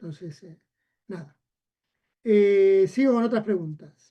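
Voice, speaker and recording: A man's dark, mellow voice at a fairly slow pace. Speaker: university lecturer. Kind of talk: lecture. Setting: video call. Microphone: laptop mic, volume drops.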